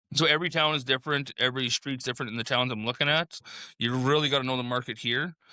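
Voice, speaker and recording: In a Saskatchewan accent, a man mumbles at a very fast pace with a bright, sharp tone and fairly even intonation, in a very clean recording with a silent background and a dry, close sound with no echo. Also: medium pitch for a man. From Saskatchewan, Canada. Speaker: real estate investor. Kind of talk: casual podcast chat. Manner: mumbling.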